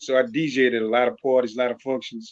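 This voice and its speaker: The speaker goes at a very fast pace with a slight Louisiana accent. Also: man. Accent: faint Louisiana accent, speaks clearly. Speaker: music producer and artist. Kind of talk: interview.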